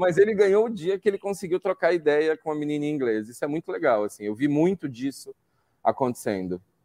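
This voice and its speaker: This man talks at a fairly quick pace in a fairly high pitch, with very wide pitch swings, a dark, mellow tone and a dry, close sound with no echo. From Brazil, São Paulo. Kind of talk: casual interview chat.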